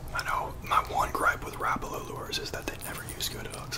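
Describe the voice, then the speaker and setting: At a moderate pace, the words are whispered. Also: man. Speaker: fishing ASMR YouTuber. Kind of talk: ASMR unboxing and lure review. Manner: soft-spoken, whispered. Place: home room. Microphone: studio mic.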